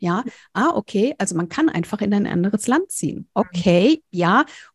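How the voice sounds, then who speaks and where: A woman's somewhat breathy voice with very wide pitch swings, in a dry, close sound with no echo. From rural Germany. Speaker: speaker and visibility mentor. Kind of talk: interview.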